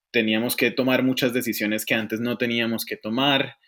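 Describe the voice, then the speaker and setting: A man with a Colombian accent talks at a fairly quick pace and a medium pitch. The recording is very clean, with a silent background. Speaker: economist and business consultant. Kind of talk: casual interview.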